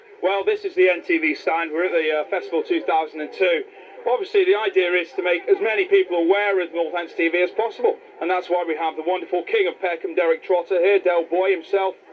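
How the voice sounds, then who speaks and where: A man races through his words while clear background noise carries on behind him. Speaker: TV presenter. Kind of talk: casual interview. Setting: outdoors at a show stand. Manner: loud.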